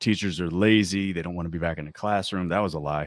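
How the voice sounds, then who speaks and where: In a very clean recording with a silent background, a man speaks with very deep, low pitch and fairly even intonation, the sound dry and close with no echo. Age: 40s. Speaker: high school English teacher. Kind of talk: casual chat.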